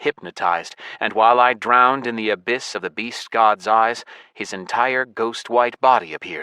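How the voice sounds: Reading voice with a natural sound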